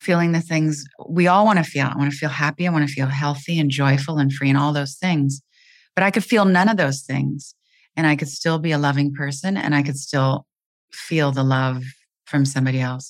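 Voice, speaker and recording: At a fairly quick pace, a woman with a very deep, low pitch speaks with fairly even intonation. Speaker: author and spiritual teacher. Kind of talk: interview conversation.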